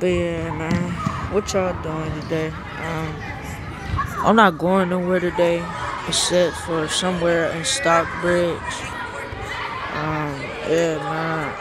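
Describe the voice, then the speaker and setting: The speech is very slow, with long, frequent pauses. Crowd noise sits in the background, and the sound is dry with no echo. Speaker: student vlogger. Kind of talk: casual vlog chat. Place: hall. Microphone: phone near.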